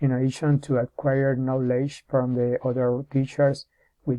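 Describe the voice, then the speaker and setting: Here a man with a Spanish accent speaks at a medium pitch. His tone is dark and mellow, and his intonation is monotone and flat. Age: 40s. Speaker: English teacher in training. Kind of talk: prepared self-presentation. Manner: halting, with many hesitations and restarts.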